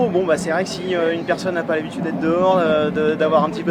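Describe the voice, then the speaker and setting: Over noticeable background noise, a man talks very fast at a high pitch. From Brittany, bay of Saint-Brieuc. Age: 30s. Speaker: fisherman, former soldier. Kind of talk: interview testimony. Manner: hesitant, many fillers.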